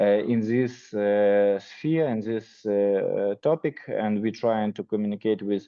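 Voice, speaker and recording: A man speaks with a Ukrainian accent at a fairly slow pace. His pitch is fairly low, and his intonation stays fairly even. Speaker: nonprofit department director. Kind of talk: self-introduction in video call. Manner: halting, many fillers.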